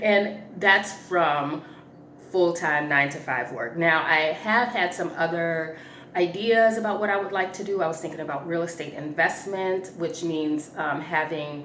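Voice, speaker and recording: Over noticeable background noise and audible room echo, a woman with a fairly low pitch talks at a fairly slow pace. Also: ordinary pitch variation. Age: 40s. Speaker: personal finance vlogger. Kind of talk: casual chat. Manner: casual, halting with fillers.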